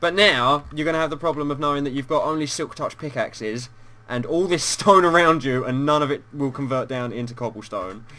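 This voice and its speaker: With a British accent, a man speaks at a fairly quick pace in a fairly high pitch, his tone bright and sharp and his pitch varying in an ordinary way. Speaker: gaming YouTuber. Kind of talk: casual chat.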